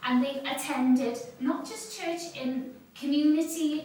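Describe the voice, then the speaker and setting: Audible room echo surrounds a woman with a high pitch. She talks at a fairly slow pace with fairly even intonation. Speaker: seminar speaker on additional learning needs. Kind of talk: seminar talk. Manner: hesitant, many ums.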